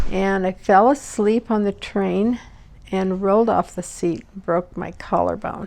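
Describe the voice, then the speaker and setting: This woman has a plain, everyday voice and an American accent. She talks at a fairly slow pace with fairly even intonation. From Utah, US (Midvale, Salt Lake valley). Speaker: family history interviewee. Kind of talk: oral history interview.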